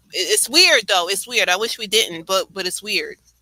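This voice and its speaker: A woman's bright, sharp, medium-pitched voice in a New York accent. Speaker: live stream host. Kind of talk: casual chat.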